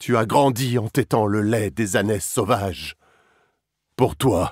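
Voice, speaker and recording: A man at a very slow pace, in a solemn, dramatic tone. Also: very clean recording, silent background. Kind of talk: epic mythic narration, dramatized reading in character. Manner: solemn, measured, dramatic storytelling tone.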